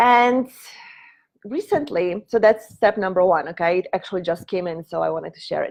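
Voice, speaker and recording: Against a quiet background, a woman speaks at medium pitch with a Polish accent. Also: ordinary pitch variation, moderate pace. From Poland. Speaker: prosperity coach. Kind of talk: live stream teaching talk. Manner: halting.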